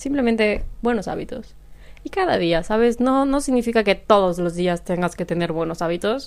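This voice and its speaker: With lively intonation, a woman talks in an ordinary speaking voice at a fairly high pitch. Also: moderate pace. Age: 20s. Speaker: podcaster. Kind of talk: solo casual monologue. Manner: laughs often.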